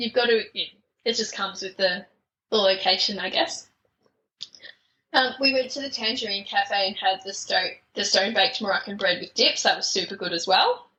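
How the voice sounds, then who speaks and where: Speaking with an Australian accent, a woman uses a medium pitch and ordinary pitch variation. Her pace is fairly quick, broken by long, frequent pauses. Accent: thick Australian. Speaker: podcast guest, traveller. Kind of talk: casual interview chat. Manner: hesitant, many fillers.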